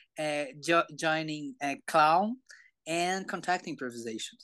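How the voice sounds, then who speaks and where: A very slow delivery in a Portuguese accent, with ordinary pitch variation over a quiet background. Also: man. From Brazil. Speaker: somatics educator. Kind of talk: interview. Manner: halting.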